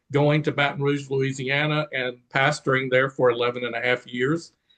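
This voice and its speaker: A man speaks at a moderate pace. His medium-pitched voice is monotone and flat. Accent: Southern. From Eastern North Carolina. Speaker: pastor. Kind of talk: interview conversation.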